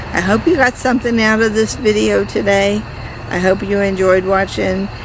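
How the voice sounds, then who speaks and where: A woman speaks over noticeable background noise. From rural upbringing on a farm. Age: 60s. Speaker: gardening channel host. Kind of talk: casual tutorial. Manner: casual, conversational with fillers.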